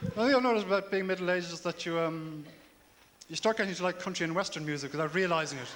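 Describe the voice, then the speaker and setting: Talking at a very fast pace, a man with a Dublin accent has a high pitch and ordinary pitch variation. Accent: Dublin Irish. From Ireland, Dublin. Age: 30s. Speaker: comedian. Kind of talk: stand-up. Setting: stage with audience.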